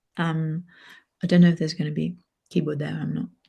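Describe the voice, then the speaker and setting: Somewhat breathy, a woman speaks at fairly low pitch with a dark, mellow tone. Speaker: singer and vocal improvisation facilitator. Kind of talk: casual chat.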